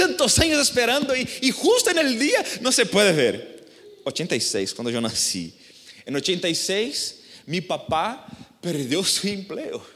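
Speaking at a very slow pace with a Brazilian accent, a man is heard with audible room echo. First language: Portuguese (speaking Spanish). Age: 30s. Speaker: pastor. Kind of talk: sermon. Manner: halting.

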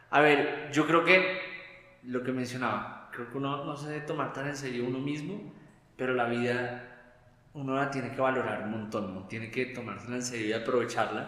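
Noticeable background noise runs under the voice. The room echo is audible. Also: man, medium pitch for a man, ordinary pitch variation, moderate pace. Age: 30s. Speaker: guest sharing faith story. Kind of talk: testimony. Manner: animated, laughing often.

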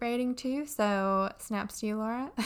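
A woman talks at a moderate pace with fairly even intonation, using an ordinary speaking voice in a very clean recording with a silent background. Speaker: podcast host. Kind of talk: casual chat interview.

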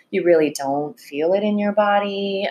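The woman has a medium-pitched voice. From China. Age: 30s. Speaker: writer. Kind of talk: casual chat. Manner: hesitant, many fillers.

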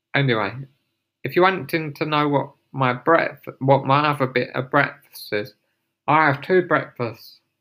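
This man has an English accent and a fairly high pitch, with ordinary pitch variation. The recording is very clean and the background silent. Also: moderate pace. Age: 30s. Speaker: podcaster. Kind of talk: casual monologue. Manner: halting.

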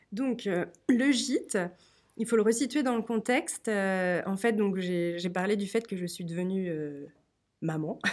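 On a very clean recording with a silent background, a woman at medium pitch speaks at a very slow pace with ordinary pitch variation and long, frequent pauses. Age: 30s. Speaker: author and guesthouse owner. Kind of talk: storytelling; interview.

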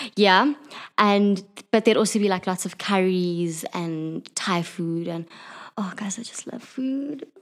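A woman uses an ordinary speaking voice at medium pitch. She goes at a fairly slow pace with ordinary pitch variation. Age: 20s. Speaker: podcast game player. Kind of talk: casual interview.

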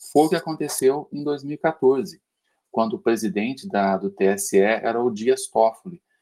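A man speaks at a fairly slow pace in a dark, mellow tone. His pitch sits in the medium range, and his intonation is lively. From Minas Gerais, Brazil (Uberlândia). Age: 50s. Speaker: podcast guest. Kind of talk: casual discussion. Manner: halting, repetitive starts.

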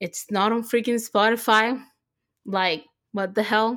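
A woman speaks very slowly at a fairly high pitch. The recording is very clean, with a silent background. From Puerto Rico. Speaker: podcast co-host. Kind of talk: casual chat. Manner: animated.

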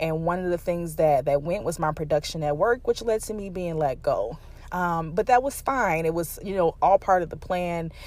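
A plain, everyday voice from a woman, fairly low in pitch with ordinary pitch variation, at a moderate pace with hardly any pauses. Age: 30s. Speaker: podcast host. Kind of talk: personal monologue. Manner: casual with many fillers.

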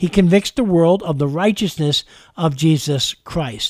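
A man in a New York accent, fairly high in pitch, with ordinary pitch variation, a moderate pace and a dry, close sound with no echo. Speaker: radio preacher. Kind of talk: radio sermon. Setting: studio.

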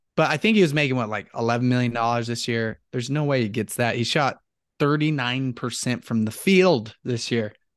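A man speaks with an unremarkable speaking voice at a medium pitch. His pace is fairly quick, with ordinary pitch variation. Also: quiet background. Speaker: co-host, sports fan. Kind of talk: casual chat.

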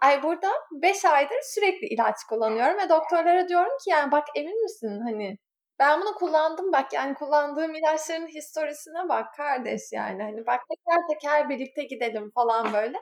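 The voice moves through very wide pitch swings with hardly any pauses. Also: woman, high pitch for a woman, moderate pace. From Izmir, Turkey. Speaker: Turkish expat. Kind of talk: casual chat. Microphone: borrowed laptop from neighbour.

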